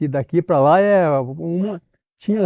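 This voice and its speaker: Lively in intonation and high-pitched, a man speaks at a very slow pace. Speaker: longtime resident. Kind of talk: oral history interview.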